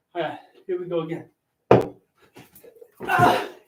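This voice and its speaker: Audible room echo surrounds a man's voice. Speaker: teacher doing basketball dunks. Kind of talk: casual video commentary while dunking. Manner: loud.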